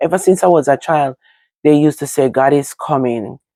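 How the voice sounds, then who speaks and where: This is a woman with a Jamaican accent. Her voice is very deep and low in pitch. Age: 40s. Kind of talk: casual talk to camera.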